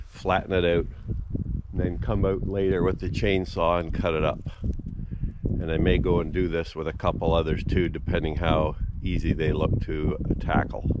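A man speaks with long, frequent pauses over loud background noise. The sound itself is dry, with no echo. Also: moderate pace. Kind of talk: tutorial. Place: forest. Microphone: phone near.

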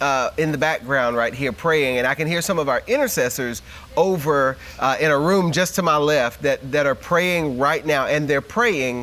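Moderate pace and ordinary pitch variation. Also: man. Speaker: associate pastor. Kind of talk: enthusiastic on-air address. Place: office. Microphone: lapel.

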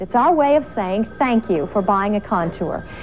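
Over music in the background, a woman talks at a moderate pace in a fairly high voice with an upbeat tone and lively intonation. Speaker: infomercial host. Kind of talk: TV commercial read. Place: studio.

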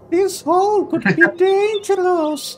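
Over clear background noise, a female-sounding voice performs a put-on character voice at an extremely high pitch and a fairly slow pace.

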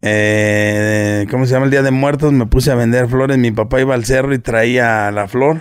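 Here a man talks at a moderate pace with fairly even intonation and hardly any pauses. The background is quiet. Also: medium pitch for a man, very even loudness. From Mexico, Nezahualcóyotl (State of Mexico), born in Guerrero. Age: 40s. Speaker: internet personality, businessman. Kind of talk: casual interview chat. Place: home room. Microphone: studio mic.

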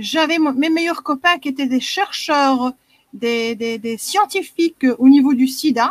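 A woman's high voice with a Belgian accent, ordinary pitch variation and a moderate pace, in a dry, close sound with no echo.

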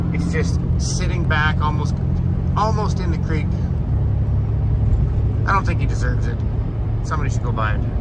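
A man talks fairly quickly with ordinary pitch variation as loud background noise plays behind him. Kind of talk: casual vlog chat. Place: car. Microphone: phone near.

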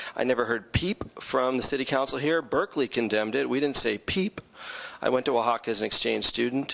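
A man with vocal fry speaks at very even loudness and with ordinary pitch variation. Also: fairly quick pace. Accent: American. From California Bay Area, US; California. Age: 40s. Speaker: city council candidate; council candidate. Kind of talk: campaign closing statement. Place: meeting room. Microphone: podium.

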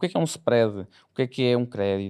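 Talking very rapidly, a man uses normal pitch movement against a hushed backdrop. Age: 20s. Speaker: lawyer and content creator, investor; lawyer, content creator. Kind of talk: casual interview. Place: studio. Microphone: studio mic.

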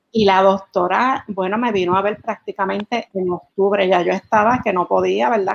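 A woman is speaking. Her pace is fairly slow. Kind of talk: interview answer. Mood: calm, reflective. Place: home room. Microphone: video call.

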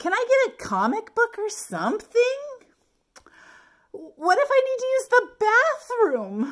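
Putting on a character voice, a woman speaks at an extremely high pitch and a fairly slow pace, with a fairly bright tone and very wide pitch swings.

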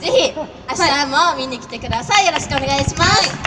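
A woman speaks with crowd noise in the background. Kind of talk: stage announcement MC talk. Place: street. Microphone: pa.

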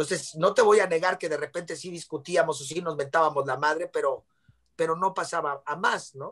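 At a fairly quick pace, a man with a Mexican accent speaks in a high pitch over a quiet background. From Mexico. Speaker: actor and singer; talk show guest. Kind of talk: casual chat. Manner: animated. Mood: relaxed, candid. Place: home room. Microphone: video call.

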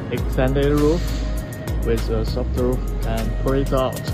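A man talks at a very slow pace while clear music plays behind him. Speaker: boat salesman. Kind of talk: product walkthrough tour. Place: factory. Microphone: phone near.

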